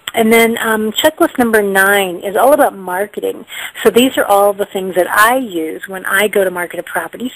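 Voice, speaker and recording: Over noticeable background noise, a woman speaks at a fairly quick pace in a medium pitch. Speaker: home staging trainer and author. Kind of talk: teleconference presentation. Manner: fast.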